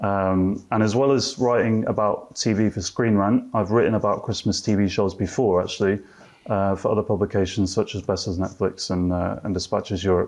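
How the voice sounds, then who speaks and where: With a British accent, a man talks at a fairly quick pace, his pitch fairly low and his intonation fairly even. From UK. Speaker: TV writer. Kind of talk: panel debate. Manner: hesitant, many fillers.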